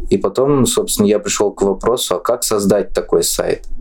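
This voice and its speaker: A man keeps a moderate pace as noticeable background noise fills the recording. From Russia, Orenburg. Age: 20s. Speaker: blind system administrator. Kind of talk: casual interview.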